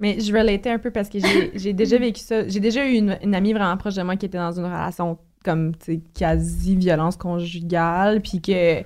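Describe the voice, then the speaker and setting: A woman with a plain, everyday voice speaks at a moderate pace and medium pitch with fairly even intonation. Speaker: podcast co-host guest. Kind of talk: casual chat.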